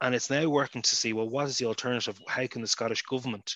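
A man with an Irish accent talks at a very fast pace in a bright, sharp tone over a quiet background. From Ireland. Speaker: politician. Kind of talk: panel discussion.

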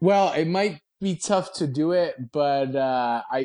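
In a dry, close sound with no echo and a quiet background, a man with an unremarkable speaking voice talks fairly slowly with lively intonation. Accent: American. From New Jersey. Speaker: weight loss guest. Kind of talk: casual interview chat.

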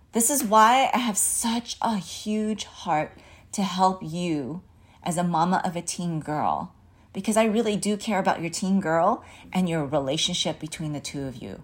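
On a very clean recording with a silent background, a woman speaks in a somewhat breathy voice with lively intonation. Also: medium pitch for a woman, moderate pace. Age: 40s. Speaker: parenting coach. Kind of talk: solo podcast monologue.

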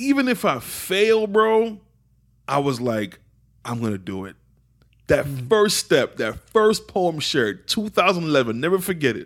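A man with a high pitch talks at a fairly slow pace, his pitch swinging very widely and his loudness rising and falling sharply. The recording is very clean, with a silent background. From England, raised in Miami from about age 10. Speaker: teacher, spoken-word artist and entrepreneur. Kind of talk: casual interview conversation. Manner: casual, warm, uses slang like bro and man.

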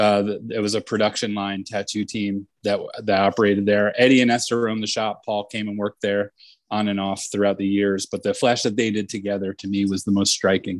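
This man speaks with a New Jersey accent in a fairly low, monotone, flat voice. His pace is fairly quick, and the sound is dry and close with no echo. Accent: New Jersey American. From New Jersey, US. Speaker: tattoo artist, shop owner. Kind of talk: casual interview.

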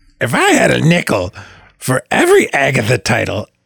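A raspy, put-on character voice at a fairly quick pace. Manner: put-on cartoon voice.

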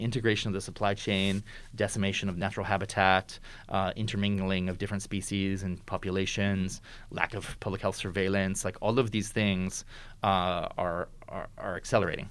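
On a very clean recording with a silent background, a man with an American accent talks at a fairly quick pace in a fairly low pitch with monotone, flat intonation. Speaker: futurist. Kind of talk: interview conversation. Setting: in-person recording, wearing a face mask.

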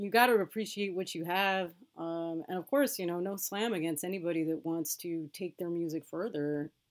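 A woman with a Californian accent and a fairly low pitch, ordinary pitch variation and a moderate pace, on a very clean recording with a silent background. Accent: Californian American. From Los Angeles, US West Coast. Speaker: music journalist and editor. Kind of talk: interview conversation.

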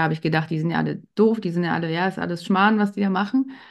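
A woman talks against a quiet background. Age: 40s. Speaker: pharmacy technician and women's health coach. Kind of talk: interview. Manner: hesitant filler words.

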